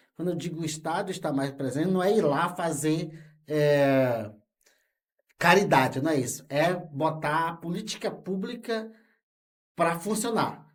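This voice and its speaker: A man speaks at a fairly slow pace in a high pitch, with ordinary pitch variation and long, frequent pauses. Audible room echo surrounds his voice. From Brazil, Rondônia (Amazon). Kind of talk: interview. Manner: halting, with fillers.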